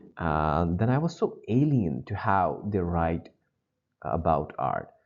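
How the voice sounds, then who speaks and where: A man speaks at a fairly slow pace with a non-native accent. His pitch swings very widely. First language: not English. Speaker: GRE test-prep teacher. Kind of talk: lecture.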